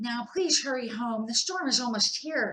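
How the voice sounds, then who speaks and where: Squeaky, high-pitched female put-on character voice, ordinary pitch variation, moderate pace. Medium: read story.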